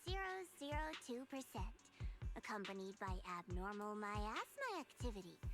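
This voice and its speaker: Over clear music in the background, a woman performs a put-on character voice in a playful tone with very wide pitch swings. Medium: video game. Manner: playful, smooth, teasing.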